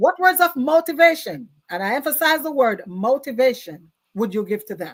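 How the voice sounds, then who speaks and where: Speaking with a Jamaican accent, a woman uses a high pitch with very wide pitch swings and big swings in loudness. Her tone is animated at a moderate pace. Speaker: talk show host. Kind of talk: interview.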